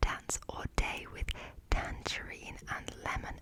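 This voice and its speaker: A woman whispering in a relaxed tone at a very slow pace, with noticeable background noise. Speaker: ASMR creator. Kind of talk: ASMR haul and ramble, casual talk to camera. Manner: relaxed, lo-fi, close-whispered.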